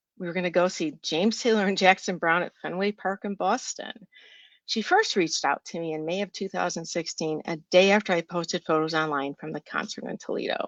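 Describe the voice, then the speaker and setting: Using an ordinary speaking voice, a woman talks at a fairly quick pace and medium pitch with ordinary pitch variation. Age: 60s. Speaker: writer and journalist. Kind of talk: reading aloud.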